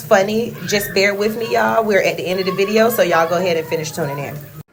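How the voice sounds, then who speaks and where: Amid noticeable background noise and audible room echo, a woman of medium pitch speaks at a fairly quick pace with ordinary pitch variation. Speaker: lifestyle vlogger. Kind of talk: casual vlog talk to camera. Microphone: muffled by lip mask.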